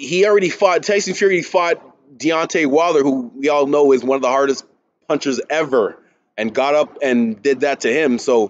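Here a man speaks at a moderate pace with ordinary pitch variation. The background is quiet. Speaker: boxing commentator. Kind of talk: commentary. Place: gym. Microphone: webcam.

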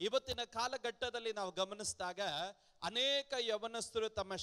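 The man's tone is bright and sharp, with a quiet background behind him. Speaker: preacher. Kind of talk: sermon. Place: church. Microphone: handheld.

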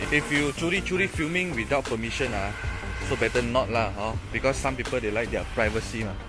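A man talks while clear music plays behind him. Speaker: car enthusiast vlogger. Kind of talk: casual vlog chat. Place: street. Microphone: phone near.

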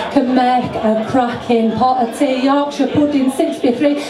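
Over noticeable background noise, a woman talks at a fairly slow pace in a high voice. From Yorkshire, England. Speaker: poet. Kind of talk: live poetry performance. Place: bar.

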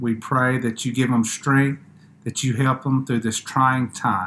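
The man's delivery comes fairly slowly, with intonation that stays fairly even. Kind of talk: scripture reading and prayer. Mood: calm, solemn. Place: home room. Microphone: webcam.

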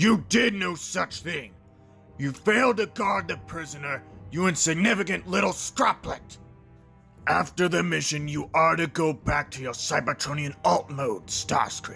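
A man uses a put-on character voice at a fairly high pitch and moderate pace, with clear music in the background. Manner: shouting, domineering, furious.

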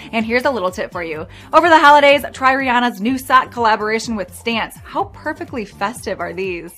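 A woman talks at a fairly quick pace, her loudness swinging widely. Faint music plays in the background. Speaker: fashion video host. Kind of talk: presenter script. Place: studio.

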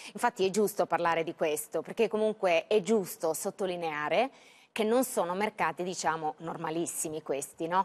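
A woman's fairly low voice at a moderate pace, with ordinary pitch variation. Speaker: TV business news anchor. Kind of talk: live TV news broadcast. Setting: studio. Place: studio. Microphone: lapel.

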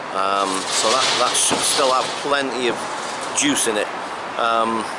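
Loud background noise runs beneath a man speaking at a moderate pace with ordinary pitch variation. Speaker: vlogger. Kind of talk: casual vlog chat. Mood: mildly frustrated. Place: street. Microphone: phone near.

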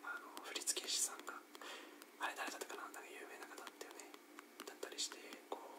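A man is whispering. He goes at a very fast pace. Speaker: ASMR creator. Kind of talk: whispered ASMR talk while playing a rhythm game. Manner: whispered. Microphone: studio mic.

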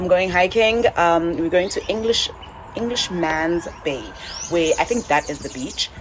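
Noticeable background noise sits behind the speech. A woman talks at a moderate pace. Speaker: travel vlogger. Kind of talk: casual vlog chat. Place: home room. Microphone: phone near.

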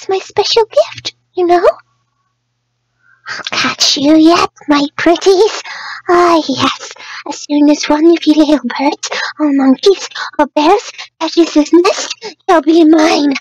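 A woman uses a cartoonish character voice with an extremely high pitch. She talks at a fairly slow pace, with long, frequent pauses. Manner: soft-spoken, timid, hesitant.

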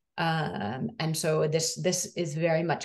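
A woman speaks with an American accent. The background is quiet. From US Northeast (Massachusetts). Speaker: education researcher. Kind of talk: academic presentation. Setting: video call. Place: home room. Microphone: video call.

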